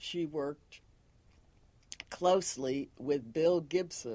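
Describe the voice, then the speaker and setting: This woman's voice is very deep and low in pitch, with a dark, mellow tone. She speaks at a very slow pace with ordinary pitch variation. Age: 80s+. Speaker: retired librarian. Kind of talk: oral history interview.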